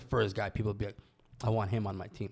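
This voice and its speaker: A man is speaking. His tone is energetic. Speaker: podcast co-host and entrepreneur. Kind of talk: casual chat.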